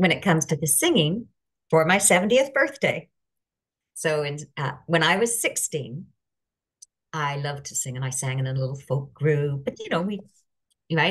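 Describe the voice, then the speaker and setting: Somewhat breathy and very deep, low in pitch, a woman speaks with a Canadian accent and lively intonation. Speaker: life coach. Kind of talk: casual chat.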